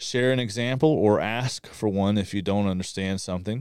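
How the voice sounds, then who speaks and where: A man with a fairly low pitch has an ordinary speaking voice, keeping a moderate pace and ordinary pitch variation. The recording is very clean, with a silent background. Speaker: podcast co-host, military veteran. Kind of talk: casual discussion podcast. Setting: recording studio.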